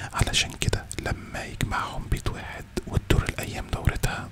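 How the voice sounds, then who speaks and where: Over loud background noise, a soft-spoken man is whispering. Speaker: content creator. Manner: soft close-mic ASMR whisper. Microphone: studio mic.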